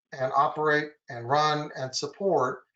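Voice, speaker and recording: This is a man talking. His pitch sits fairly high. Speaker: software compliance consultant. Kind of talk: webinar presentation. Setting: online webinar. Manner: fast.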